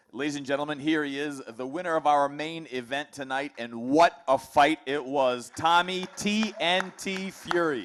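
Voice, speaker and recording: A man's fairly high voice at a moderate pace, with ordinary pitch variation, hardly any pauses and noticeable background noise. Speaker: press conference moderator. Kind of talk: press conference interview.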